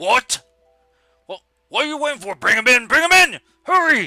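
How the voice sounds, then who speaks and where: Loud and pitched extremely high, a man does a put-on character voice at a moderate pace with music in the background. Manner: loud, impatient, commanding.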